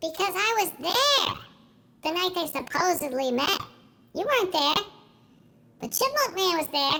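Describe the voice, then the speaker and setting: A woman puts on a squeaky character voice at an extremely high pitch, swinging very widely up and down. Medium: audio drama. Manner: eager, chatty.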